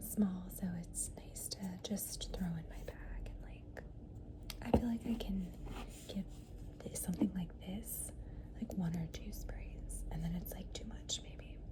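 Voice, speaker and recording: A fairly slow whisper against clearly audible background noise. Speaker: ASMR creator. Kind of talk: ASMR perfume collection talk. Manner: soft-spoken.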